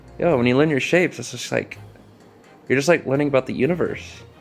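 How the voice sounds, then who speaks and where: Music plays in the background as a man speaks in a fairly high voice. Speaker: YouTuber. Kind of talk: casual talk to camera. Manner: rambling.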